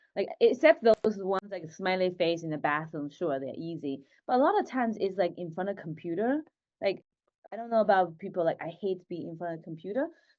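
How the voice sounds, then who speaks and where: Speaking with a Chinese accent, a woman talks fairly quickly with lively intonation and big swings in loudness. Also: medium pitch for a woman. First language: Mandarin Chinese. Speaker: tech founder. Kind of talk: interview podcast.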